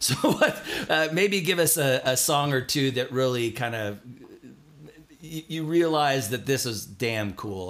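A man speaks in an American accent with an unremarkable speaking voice. His pitch is medium, his intonation lively and his pace moderate. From Southern California. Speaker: podcast host. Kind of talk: scripted narration; casual interview.

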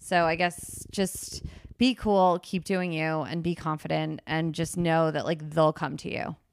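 In a very clean recording with a silent background, a woman with an American accent talks at a fairly slow pace in an ordinary speaking voice, her pitch fairly low with ordinary pitch variation. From New Jersey, Princeton. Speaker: comedian. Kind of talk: casual chat.

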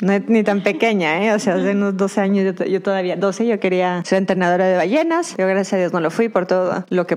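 Against noticeable background noise, a woman talks at a moderate pace with medium pitch and fairly even intonation. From Mexico, Durango. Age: 30s. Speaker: dog trainer and behaviorist. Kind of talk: interview.

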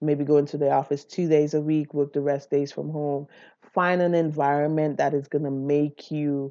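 Against a quiet background, a woman speaks at a moderate pace in a very deep, low voice. Her tone is dark and mellow, with monotone, flat intonation. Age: 40s. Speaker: podcast host. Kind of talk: personal monologue. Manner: casual, with frequent fillers.

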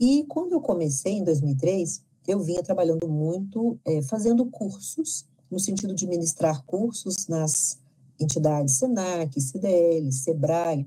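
A woman talks at a very slow pace in a fairly low, dark and mellow voice that is somewhat breathy. Her intonation is lively. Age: 50s. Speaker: lecturer and leadership consultant. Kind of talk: interview.

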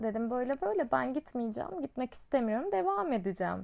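On a very clean recording with a silent background, a woman with a normal speaking voice talks at a moderate pace and fairly high pitch with lively intonation. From Çukurova, southern Turkey. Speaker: podcast host and teacher. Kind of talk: casual monologue. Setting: at home.

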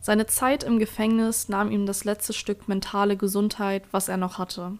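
The woman's medium-pitched voice holds a monotone, flat intonation. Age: 20s. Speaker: podcast host. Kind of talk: scripted narration.

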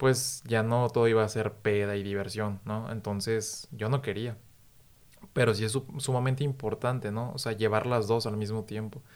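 At a moderate pace, a man with an unremarkable speaking voice talks in a medium pitch with fairly even intonation. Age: 30s. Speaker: podcast host, TV news communicator. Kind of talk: casual chat.

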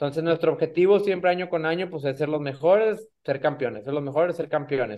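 A normal speaking voice from a man with a fairly high pitch comes at a fairly quick pace, with hardly any pauses and ordinary pitch variation. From Mexico, Monterrey. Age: 30s. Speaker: racing driver. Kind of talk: interview.

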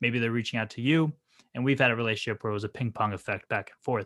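A man speaks at a medium pitch with a bright, sharp tone. The sound is dry and close with no echo, and the background is quiet. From New Jersey. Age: 20s. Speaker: entrepreneur. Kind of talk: podcast interview.

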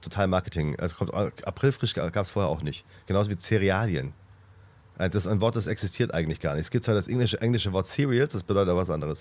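The speech moves at a very fast pace with ordinary pitch variation in a very clean recording with a silent background. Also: man, very deep, low pitch for a man. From Swabia, Reutlingen. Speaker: comedian, podcast co-host. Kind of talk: casual chat.

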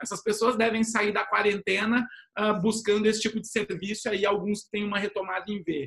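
Pitched high, a man's voice moves at a fairly quick pace. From São Paulo state, Brazil. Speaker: retail executive and startup mentor. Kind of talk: online panel discussion.

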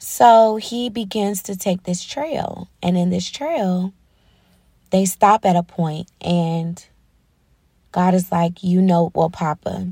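At a very slow pace, a woman speaks in a somewhat breathy, dark, mellow tone, the sound dry and close with no echo in a very clean recording with a silent background. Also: medium pitch for a woman, ordinary pitch variation. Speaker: faith podcast host. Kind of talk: solo faith talk. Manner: hesitant, many ums.

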